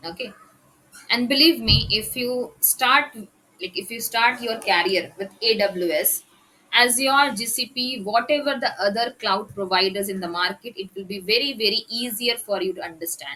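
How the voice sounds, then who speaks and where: With a plain, everyday voice, a woman speaks at a moderate pace and a fairly high pitch, using ordinary pitch variation. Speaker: tech trainer. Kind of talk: lecture.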